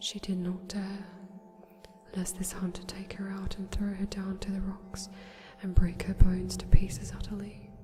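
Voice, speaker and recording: Music plays in the background as a soft-spoken woman talks at medium pitch and moderate pace. Her intonation is monotone and flat, while her loudness swings a lot. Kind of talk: ASMR bedtime story reading. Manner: quiet, soft-spoken.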